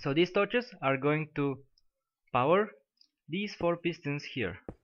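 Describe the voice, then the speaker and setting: A man talks at a fairly slow pace. His voice is fairly high in pitch, with lively intonation. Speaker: game tutorial maker. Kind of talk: game tutorial narration. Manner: mechanical-sounding.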